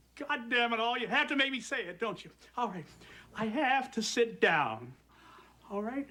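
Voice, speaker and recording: A gruff, put-on character voice speaks at a moderate pace with ordinary pitch variation. Long pauses come often. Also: man, extremely high pitch for a man. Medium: voice reel. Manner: gruff, irritable.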